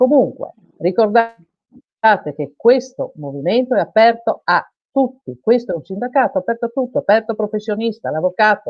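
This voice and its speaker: A woman with a fairly high pitch speaks at a moderate pace, her intonation lively and her speech broken by long, frequent pauses. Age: 60s. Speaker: self-employed workers' union representative. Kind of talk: live TV interview. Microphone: unstable internet connection.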